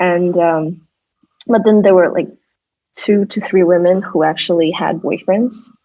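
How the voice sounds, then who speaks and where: Speaking slowly, with long and frequent pauses, a woman with a Russian accent keeps a medium pitch. Her tone is dark and mellow and her intonation fairly even. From Kyrgyzstan. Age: 20s. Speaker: artist and designer. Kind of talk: interview. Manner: halting.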